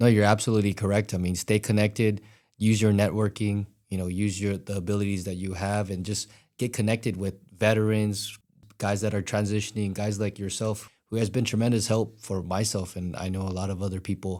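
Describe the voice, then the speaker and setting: A fairly low-pitched man with a Hawaiian accent, dark, mellow tone and monotone, flat intonation at a fairly quick pace, on a very clean recording with a silent background. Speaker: podcast host, veteran. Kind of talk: casual interview chat.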